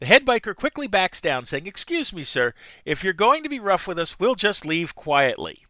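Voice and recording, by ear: The text is read aloud in a natural voice.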